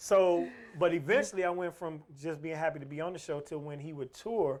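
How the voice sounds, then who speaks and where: An ordinary speaking voice with an American accent, fairly even intonation, big swings in loudness and a fairly quick pace. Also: man, fairly high pitch for a man. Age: 50s. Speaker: stand-up comedian. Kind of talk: casual interview storytelling.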